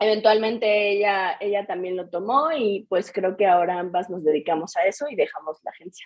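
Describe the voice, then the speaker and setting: With a plain, everyday voice, a woman talks at a moderate pace and medium pitch. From Mexico, Querétaro. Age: 20s. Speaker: beauty studio founder. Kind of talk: interview.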